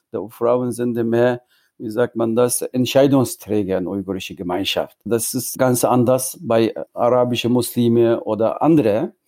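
The man's intonation stays fairly even. He has a dark, mellow tone. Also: medium pitch for a man, fairly slow pace, very clean recording, silent background. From East Turkestan (Xinjiang), Hotan. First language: Uyghur (speaking German). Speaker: Uyghur diaspora activist. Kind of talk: interview. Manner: halting, mixes in English words.

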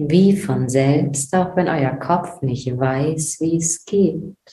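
Very slow, somewhat breathy speech from a woman, very deep and low in pitch, with ordinary pitch variation and a gentle, calm, dark, mellow tone. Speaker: meditation guide podcast host. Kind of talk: guided meditation. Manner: slow, calm, soothing; gentle, dreamy, with long pauses.

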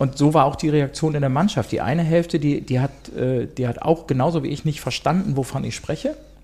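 Here a man speaks in a dark, mellow tone that is somewhat breathy and fairly high in pitch. His pace is fairly quick and his intonation fairly even. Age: 50s. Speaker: steel construction business owner. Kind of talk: interview. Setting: in person, across the table.

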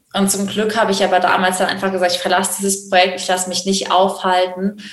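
A woman's medium-pitched voice at a fairly quick pace, with audible room echo. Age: 20s. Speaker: animal welfare worker for monkeys. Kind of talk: casual interview. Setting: video call.

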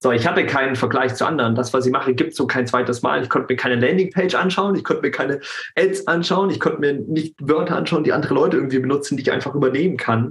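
Very fast and fairly high, a man's voice holds very even loudness and ordinary pitch variation. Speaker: anti-bullying coach. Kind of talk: casual interview. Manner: halting.

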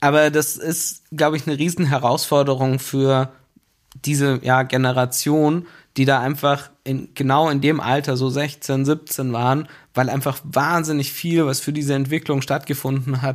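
In a very clean recording with a silent background, a man speaks at a fairly high pitch in a flat, monotone way. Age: 30s. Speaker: business executive. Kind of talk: casual interview. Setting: studio in a basement.

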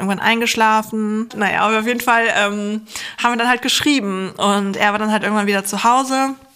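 Noticeable background noise sits behind a woman speaking at a fairly high pitch. Her pace is fairly quick and her intonation fairly even. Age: 30s. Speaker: psychologist and science journalist. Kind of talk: casual chat. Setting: video call.

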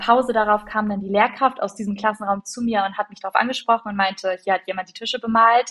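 A woman speaks at a fairly high pitch and a fairly quick pace. Her intonation is monotone and flat. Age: 20s. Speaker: teacher trainee. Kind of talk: casual chat.

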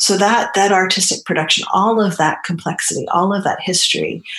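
A woman with an American accent uses a normal speaking voice at medium pitch, speaking at a moderate pace with ordinary pitch variation. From New Hampshire, US. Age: 50s. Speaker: academic and feminist. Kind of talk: casual interview conversation.

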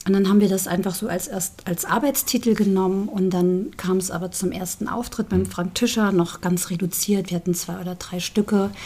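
With noticeable background noise behind her, a woman of medium pitch talks at a fairly quick pace in fairly even intonation. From Saarland, Saarbrücken. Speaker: singer. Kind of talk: casual interview chat.

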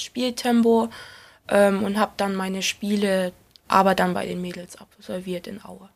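Here a woman uses a normal speaking voice at medium pitch with fairly even intonation. The recording is very clean, its background silent. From Saxony, Erzgebirge (Germany). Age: 20s. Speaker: professional footballer. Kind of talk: interview.

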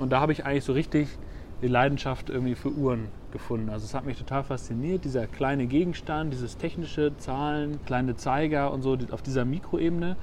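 This man has a fairly high pitch and fairly even intonation. Audible room echo surrounds his voice. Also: fairly quick pace. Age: 30s. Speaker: watch company founder. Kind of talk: interview. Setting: outdoors on a bench at the harbour.

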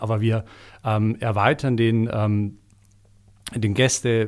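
On a very clean recording with a silent background, a man speaks at a medium pitch with monotone, flat intonation. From Bavaria, village near Eichstätt. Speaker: executive assistant and podcast producer. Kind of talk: casual chat. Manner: hesitant, many filler sounds.

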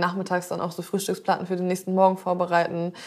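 A woman's medium-pitched voice rushes along at a very fast pace. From northern Germany, Zeven between Bremen and Hamburg. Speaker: chef, podcast co-host. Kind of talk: casual chat.

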